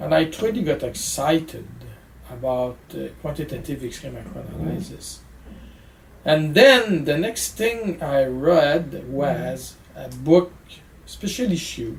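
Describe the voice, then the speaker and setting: The speaker has a strong French Canadian accent. The pace is very slow. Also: man. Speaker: physics professor. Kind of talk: interview answer. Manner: hesitant, many fillers.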